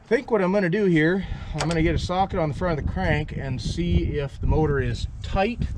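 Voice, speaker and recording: Noticeable background noise is present. A man speaks at a moderate pace. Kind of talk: casual vlog chat. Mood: mildly disappointed. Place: open country. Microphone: phone near.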